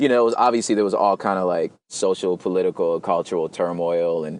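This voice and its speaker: The delivery is fairly quick and relaxed in tone. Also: man. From Los Angeles, South Central and San Gabriel Valley. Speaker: hip hop artist and poet. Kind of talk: casual interview conversation. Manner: relaxed, casual with many fillers.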